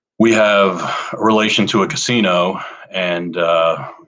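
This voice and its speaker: A man's voice with fairly even intonation. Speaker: crypto guild team member. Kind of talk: casual chat. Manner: rambling. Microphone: poor microphone.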